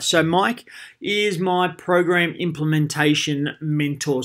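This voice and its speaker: The voice belongs to a man. He speaks with an Australian accent. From Australia, Geelong. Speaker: primary school PE teacher. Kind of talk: conference presentation. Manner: animated.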